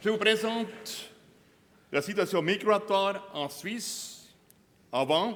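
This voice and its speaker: In a strong Bernese Oberland accent, a man talks at a very slow pace with long, frequent pauses. His voice is high, with ordinary pitch variation. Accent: strong Bernese Oberland Swiss German. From Bernese Oberland, Switzerland. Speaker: border guard commander. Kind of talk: conference talk.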